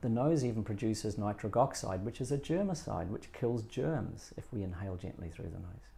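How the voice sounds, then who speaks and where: A man with a New Zealand accent speaks with a dark, mellow tone that is somewhat breathy, with lively intonation and big swings in loudness. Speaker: breathing coach. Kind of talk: interview. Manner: nose breathing while speaking.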